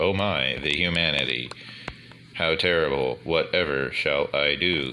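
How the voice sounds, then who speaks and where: A man's put-on robotic character voice, very deep and low, at a moderate pace over clear background noise. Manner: flat, sarcastic monotone.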